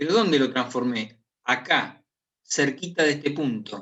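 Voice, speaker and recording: This man has a medium pitch. His intonation is lively. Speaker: math professor. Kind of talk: lecture.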